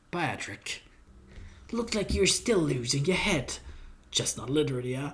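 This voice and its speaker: Using a put-on character voice at a fairly high pitch, a man speaks at a moderate pace with long, frequent pauses. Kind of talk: hard-boiled noir. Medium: solo performance. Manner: gruff, sardonic.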